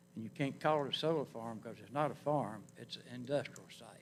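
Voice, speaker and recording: Speaking with a North Carolina accent, a man at medium pitch talks at a moderate pace with ordinary pitch variation. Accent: US Southern (North Carolina). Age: 80s+. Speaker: public commenter, retired Navy veteran. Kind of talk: public comment at planning board hearing.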